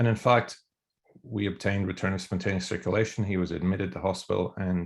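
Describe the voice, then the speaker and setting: In an Irish accent, the speaker talks at a fairly quick pace with ordinary pitch variation on a very clean recording with a silent background. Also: man. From Ireland. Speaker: emergency physician and researcher. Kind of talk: academic discussion. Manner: hesitant, many fillers and repeats.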